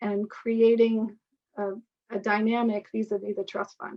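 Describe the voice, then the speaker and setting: A woman speaks at a moderate pace with a fairly high pitch. She has a normal speaking voice. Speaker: author and lecturer on partnership structures. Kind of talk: webinar lecture with Q&A.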